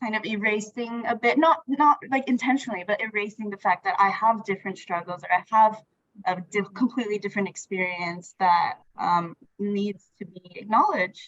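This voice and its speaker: A woman with a Filipino accent speaks at a moderate pace, her pitch fairly high and her pitch variation ordinary. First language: Tagalog. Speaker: workshop participant. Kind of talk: casual group discussion. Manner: hesitant, many fillers.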